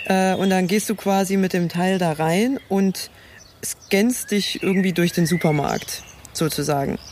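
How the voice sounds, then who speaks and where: Over noticeable background noise, a woman at medium pitch talks very slowly, with ordinary pitch variation and very even loudness. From rural eastern Germany (former GDR). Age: young. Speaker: blind podcast co-host. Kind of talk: casual chat. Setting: outdoors.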